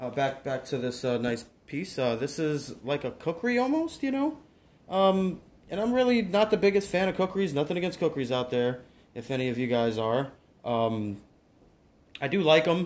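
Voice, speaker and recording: Very wide pitch swings at a moderate pace. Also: man. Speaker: collector reviewing a blade. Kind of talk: casual product review. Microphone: phone near.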